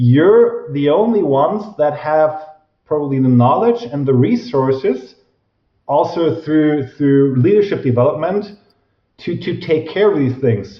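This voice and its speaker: A man with a German accent, lively intonation and a moderate pace. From Germany. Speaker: professor of organizational psychology. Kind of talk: interview.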